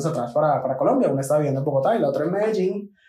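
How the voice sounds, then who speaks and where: Over noticeable background noise, a man speaks at a high pitch with lively intonation. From Venezuela, Maracay (Aragua). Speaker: podcast co-host. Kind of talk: casual chat.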